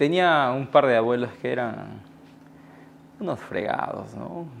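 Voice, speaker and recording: Through a normal speaking voice, a man talks at a fairly slow pace with lively intonation. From Iquitos, Peru. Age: 30s. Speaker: writer and teacher. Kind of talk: interview answer.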